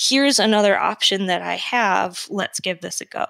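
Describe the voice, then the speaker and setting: A woman with an American accent, a plain, everyday voice at medium pitch, ordinary pitch variation, moderate pace, dry and close with no echo. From Michigan, Metro Detroit. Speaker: veterinary oncologist. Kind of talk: interview.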